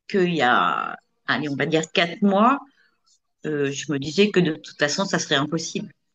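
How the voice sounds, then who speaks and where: A woman speaks at a fairly slow pace. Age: 60s. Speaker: coaching client. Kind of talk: testimony. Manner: halting.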